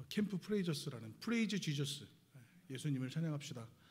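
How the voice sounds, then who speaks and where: With a Seoul accent, a man speaks at a fairly quick pace and fairly high pitch, somewhat breathy and with lively intonation, in a room with audible echo. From Seoul, South Korea. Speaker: missionary guest preacher. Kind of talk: sermon. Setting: church service. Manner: hesitant, many filler sounds.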